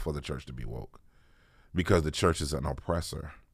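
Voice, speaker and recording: This man speaks with vocal fry and ordinary pitch variation. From Washington, D.C. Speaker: pastor. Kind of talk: casual chat.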